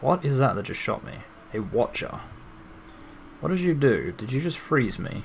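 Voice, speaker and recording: A man talks with an Australian accent. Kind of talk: video game let's play commentary. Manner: casual, rambling.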